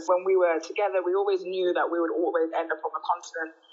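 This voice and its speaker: Her voice is fairly low, and the woman speaks at a fairly quick pace. The intonation is monotone and flat. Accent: Birmingham. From Birmingham, England. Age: 30s. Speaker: energy company executive. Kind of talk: casual interview.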